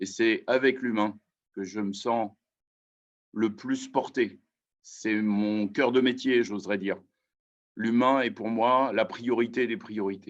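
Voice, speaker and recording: Here a man talks at a very slow pace with long, frequent pauses. His pitch is medium and his intonation fairly even. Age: 60s. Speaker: mayor. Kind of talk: testimony. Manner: hesitant.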